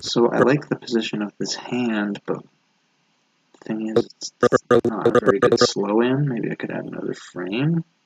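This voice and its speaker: The sound is dry and close, with no echo. A man speaks quietly at a medium pitch. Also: ordinary pitch variation, moderate pace. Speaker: animator streaming his drawing work. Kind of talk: casual live stream commentary. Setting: live stream at home late at night. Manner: talking very quietly; subdued, holding back energy.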